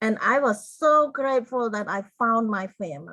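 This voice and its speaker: Speaking very slowly in a Cambodian accent, a woman keeps a fairly high pitch with ordinary pitch variation. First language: Khmer. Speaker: genocide survivor and author. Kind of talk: interview testimony. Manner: halting.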